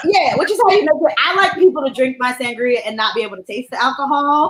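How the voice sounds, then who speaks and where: A woman speaks very fast in a New Jersey accent. Her high voice makes very wide pitch swings. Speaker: comedy show co-host. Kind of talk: casual chat, drink-making demo.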